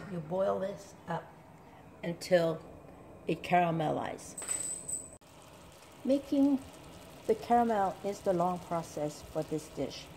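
With very wide pitch swings, a woman speaks in a dark, mellow, somewhat breathy tone against light background noise. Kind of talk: tutorial. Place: kitchen. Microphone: camera far.

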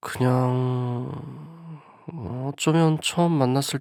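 With no echo at all, a man is heard in a dry, close sound. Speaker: ASMR voice actor playing a boyfriend. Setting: close-mic bedroom roleplay.

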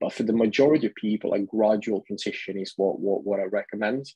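With an Italian accent, a man speaks in a dark, mellow tone, the sound dry with no echo and the background quiet. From Italy. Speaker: vegan lifestyle advocate; guest. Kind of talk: interview. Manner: repetitive stammering restarts. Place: home room. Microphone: video call.

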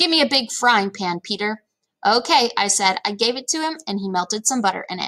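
Read aloud in a natural voice with lively intonation against a quiet background.

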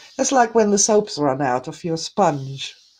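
The voice is dark, mellow and warm, and somewhat breathy. Its intonation is lively over a quiet background. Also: woman. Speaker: energy healing teacher. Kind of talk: guided meditation. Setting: live online broadcast to viewers. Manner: soft, gentle, soothing and slow-paced; warm, loving, reassuring. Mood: warm, gentle, soothing. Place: home room. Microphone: webcam.

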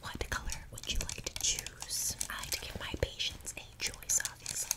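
A woman whispering at a moderate pace. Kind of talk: soft roleplay talk to viewer. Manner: soft ASMR roleplay voice. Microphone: earbuds.

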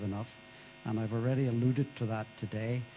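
A man's voice, somewhat breathy, has a dark, mellow tone. He speaks in a flat monotone over light background noise. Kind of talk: interview answer. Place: hall. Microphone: handheld.

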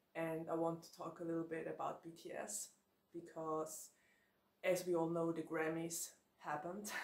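Audible room echo surrounds a woman speaking in a fairly low voice. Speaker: book vlogger. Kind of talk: casual vlog chat. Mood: cheerful, laughs often. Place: home room.

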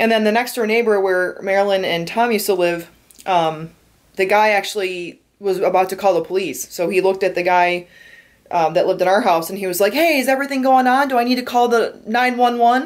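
A woman's unremarkable speaking voice at medium pitch, with an American accent, a fairly quick pace, ordinary pitch variation and a quiet background. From Michigan, Detroit area. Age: 20s. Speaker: vlogger. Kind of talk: casual vlog narration. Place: home room. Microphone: phone near.

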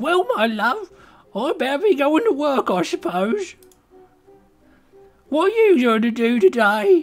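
Using a put-on character voice with an extremely high pitch, a man speaks at a fairly slow pace with very wide pitch swings and long, frequent pauses while faint music plays in the background. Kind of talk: casual gameplay commentary.

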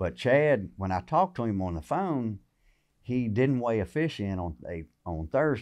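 Very wide pitch swings from a man with a Southern US accent, at a moderate pace over a quiet background. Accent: Southern American. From Virginia, USA. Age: 50s. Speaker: tournament bass angler; podcast guest. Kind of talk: interview answer. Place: shop. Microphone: studio mic.

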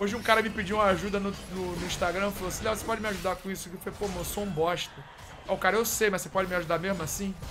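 A man's high-pitched, very fast speech with audible room echo and noticeable background noise. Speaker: esports caster and streamer. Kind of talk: live commentary. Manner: animated; stammering.

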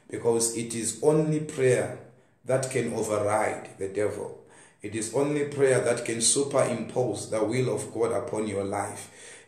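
In a room with audible echo, a man talks at a fairly slow pace with fairly even intonation. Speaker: preacher. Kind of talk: sermon. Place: home room. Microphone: phone near.

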